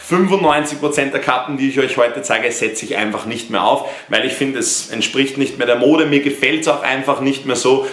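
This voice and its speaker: A man speaks at a moderate pace with hardly any pauses. His intonation is fairly even, with audible room echo around him. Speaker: fashion vlogger. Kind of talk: casual vlog chat. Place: home room. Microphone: camera far.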